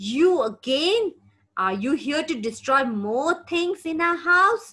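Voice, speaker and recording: Putting on a character voice, a woman growls at an extremely high pitch with very wide pitch swings, going at a fairly slow pace. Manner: growling, annoyed.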